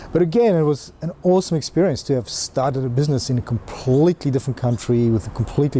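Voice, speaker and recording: A man with a South African accent, lively intonation and a fairly quick pace, over noticeable background noise. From South Africa, mining towns. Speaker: entrepreneur. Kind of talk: personal story interview. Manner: hesitant, many fillers.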